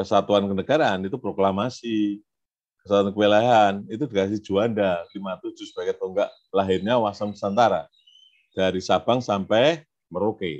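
Moderate pace with ordinary variation in pitch. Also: man, fairly low pitch for a man. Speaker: widyaiswara trainer; trainer for civil servant trainees. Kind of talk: lecture. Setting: video call. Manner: casual, code-switching Javanese. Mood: relaxed, joking. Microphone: video call.

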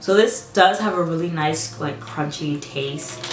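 A woman speaks at a very deep, low pitch while clear music plays in the background. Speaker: snack reviewer. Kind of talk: casual vlog chat. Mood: relaxed, amused. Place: home room.

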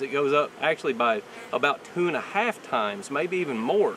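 Lively intonation comes at a moderate pace in a dry sound with no echo, with light background noise. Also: man. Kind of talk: tutorial. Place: farm.

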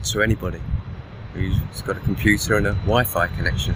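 At a moderate pace, a man speaks in a dry recording with no echo and noticeable background noise. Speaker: online business coach. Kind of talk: vlog monologue. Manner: casual, rambling. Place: waterside. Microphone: phone near.

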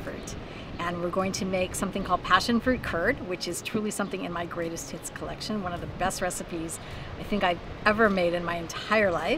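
Speech moves at a fairly quick pace with ordinary pitch variation. Noticeable background noise sits behind it. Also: woman, dry sound with no echo. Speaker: cooking show host. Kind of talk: tutorial. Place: beach.

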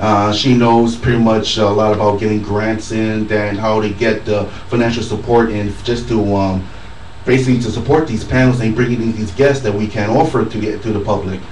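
Fairly low in pitch, a man speaks at a fairly quick pace. Audible room echo and light background noise surround his voice. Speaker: convention organizer; radio guest. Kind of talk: casual radio chat; interview answer. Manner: upbeat, animated. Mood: pleased, grateful. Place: studio.

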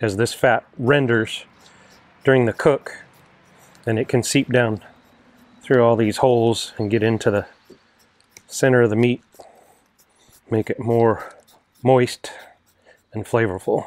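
With long, frequent pauses, a man speaks in a monotone, flat intonation, the sound dry with no echo. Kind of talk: tutorial. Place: garden.

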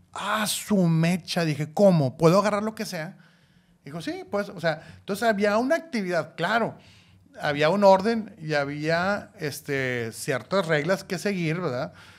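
Speaking at a fairly slow pace, a man uses lively intonation and a high pitch. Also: quiet background. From Mexico, Monclova (Coahuila); Coahuila, Mexico. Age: 40s. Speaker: podcast co-host, father; podcast co-host. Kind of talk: casual chat. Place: studio. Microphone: studio mic.

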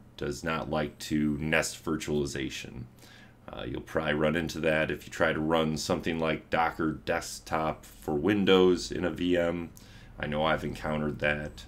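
Speaking at a moderate pace, a man uses a very deep, low pitch and fairly even intonation. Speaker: tech tutorial host. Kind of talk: tutorial. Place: home room.

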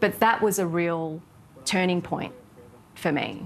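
Light background noise sits behind a woman speaking with an Australian accent. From southwest Sydney, Australia. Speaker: TV content executive; interviewee. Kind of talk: interview. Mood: reflective, personal. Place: cafe. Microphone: lapel.

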